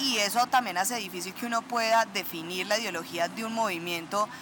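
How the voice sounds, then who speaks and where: A woman with an unremarkable speaking voice talks at a fairly quick pace and a medium pitch, with ordinary pitch variation. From Colombia, Chinchiná (Caldas, coffee region). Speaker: political candidate. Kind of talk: interview.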